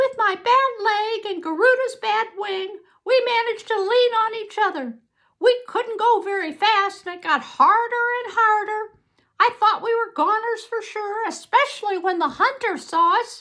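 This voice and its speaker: A woman's squeaky put-on character voice, extremely high in pitch, at a moderate pace. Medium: read story.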